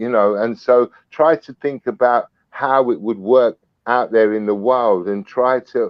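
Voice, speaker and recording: A man speaks at a fairly slow pace with a British accent. His pitch is medium, with ordinary variation. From UK. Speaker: snake breeder. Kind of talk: podcast interview. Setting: live video podcast. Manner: energetic.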